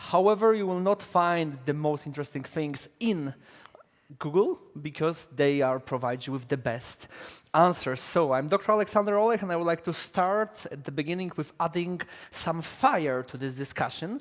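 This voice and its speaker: A man with a Polish accent speaks in a high voice at a moderate pace. His intonation is lively. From Poland. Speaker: panel moderator, defence editor. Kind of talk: conference panel moderation. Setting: conference stage with audience.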